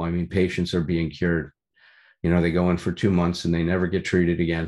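A man with a Chicago accent, very deep and low in pitch, monotone and flat in intonation, in a very clean recording with a silent background. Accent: Chicago American. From US Midwest, Chicago. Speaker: recovery meeting speaker. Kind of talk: testimony. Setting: meeting room with audience.

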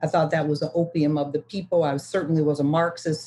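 A woman with very deep, low pitch and monotone, flat intonation. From US Midwest, Detroit. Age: 60s. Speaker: recovering alcoholic speaker. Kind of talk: testimony.

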